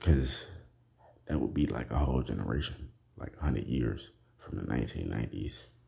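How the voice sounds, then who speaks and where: A man with an American accent speaks at a moderate pace in a dark, mellow tone, his very deep, low pitch marked by vocal fry and fairly even intonation, with long, frequent pauses. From United States. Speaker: podcast host. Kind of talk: casual solo monologue.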